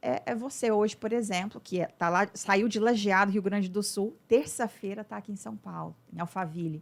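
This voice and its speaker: With an unremarkable speaking voice, a woman talks at a moderate pace and medium pitch, showing ordinary pitch variation and big swings in loudness. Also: hardly any pauses. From Brazil, Uberlândia, Minas Gerais. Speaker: business mentor, former lawyer. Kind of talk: podcast interview.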